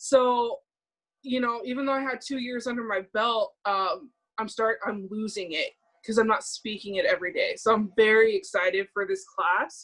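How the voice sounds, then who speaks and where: A woman speaks with a strong Californian accent. Her pitch is high. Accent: strong California. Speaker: language student. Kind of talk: casual chat. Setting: video call. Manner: hesitant, many fillers.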